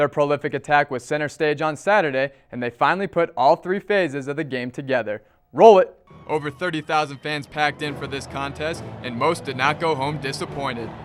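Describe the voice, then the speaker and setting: With music playing behind him, a man talks at a fairly quick pace in a fairly high pitch with ordinary pitch variation. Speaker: college sports anchor and reporter. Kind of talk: football highlight narration. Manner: fast, excited.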